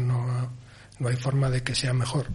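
A man speaks at a fairly slow pace in a somewhat breathy voice of medium pitch. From Asturias. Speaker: film director. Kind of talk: interview.

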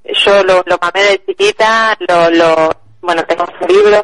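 The dry, close sound with no echo carries a woman speaking at a fairly slow pace over noticeable background noise. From Argentina. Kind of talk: interview.

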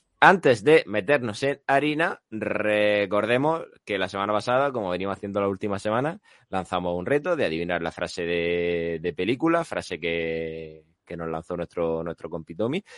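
In a plain, everyday voice, a man speaks at a fairly low pitch and a moderate pace with lively intonation, in a dry, close sound with no echo over a quiet background. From Spain, Lorca (Murcia). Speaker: podcast host. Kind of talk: casual chat.

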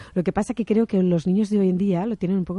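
A woman with a Catalan accent and a dark, mellow tone is heard in a dry, close sound with no echo and a quiet background. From Barcelona, Catalonia. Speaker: interview guest. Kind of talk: radio interview.

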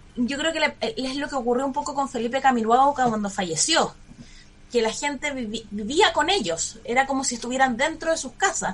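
Noticeable background noise sits behind a woman with a high pitch. She talks at a moderate pace with very wide pitch swings. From Chile, Santiago. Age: 30s. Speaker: lawyer and public security official running for mayor. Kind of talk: radio interview.

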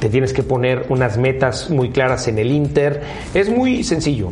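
The speaker has a Mexican accent, heard with audible room echo and noticeable background noise. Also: man. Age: 40s. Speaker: car brand executive. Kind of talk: interview. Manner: hesitant, many fillers.

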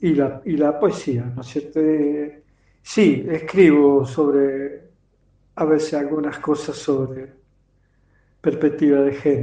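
A man's very slow delivery full of long, frequent pauses, with a fairly high pitch, fairly even intonation and a dark, mellow tone. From Argentina, Campana (Buenos Aires province). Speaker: poet. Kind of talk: interview. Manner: halting.

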